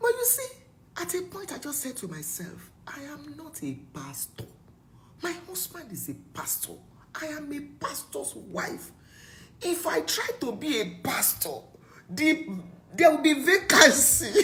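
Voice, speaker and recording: Speaking at a fairly slow pace with long, frequent pauses, a woman swings widely in loudness as audible room echo surrounds her. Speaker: preacher. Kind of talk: sermon. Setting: video call. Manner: animated.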